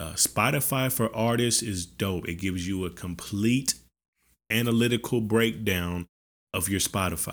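A man with an American accent talks at a moderate pace and fairly low pitch, with ordinary pitch variation. It's an unremarkable speaking voice on a very clean recording with a silent background. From US South, Arkansas (Benton). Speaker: music artist and podcaster. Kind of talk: casual monologue tutorial. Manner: casual, filler-heavy.

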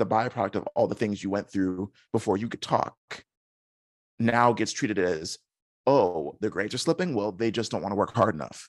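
Against a quiet background, a man talks fairly quickly at a fairly low pitch in an ordinary speaking voice. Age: 30s. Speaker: content creator, former educator. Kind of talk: interview conversation.

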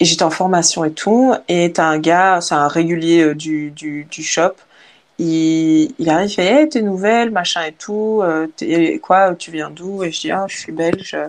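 Her pitch is fairly low, with ordinary variation. The woman speaks at a very slow pace. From Belgium. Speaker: content creator. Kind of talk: casual chat. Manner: halting.

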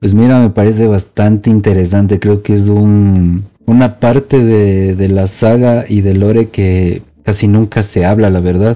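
Fairly low in pitch, this man's voice has a dark, mellow tone. He speaks at a fairly slow pace. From Ecuador, Quito. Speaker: gaming podcast co-host. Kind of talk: casual chat. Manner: halting.

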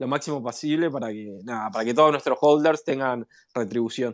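On a very clean recording with a silent background, a man at medium pitch has a plain, everyday voice. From Uruguay. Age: 40s. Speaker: entrepreneur, NFT project founder. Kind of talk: interview.

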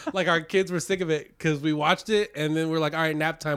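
A man whose pitch sits fairly high speaks very fast, with noticeable background noise behind him. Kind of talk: casual chat.

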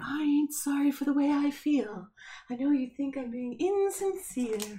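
A woman puts on a character voice, pitched high. She keeps a moderate pace. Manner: whimsical, magical.

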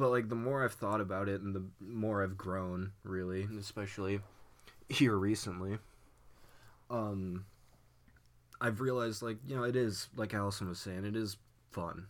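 A man with an American accent, fairly low-pitched, at a moderate pace with fairly even intonation and long, frequent pauses. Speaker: podcast host, college student. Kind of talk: casual chat.

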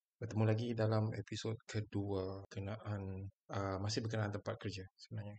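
Somewhat breathy, a man speaks at a fairly low pitch in a monotone, flat intonation. He keeps a moderate pace with hardly any pauses. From Sarawak, Malaysia. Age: 40s. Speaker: podcast host. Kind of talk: casual monologue.

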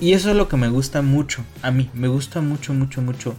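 The speaker talks with a Mexican accent. Music plays in the background. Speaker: video game podcast co-host. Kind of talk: casual chat.

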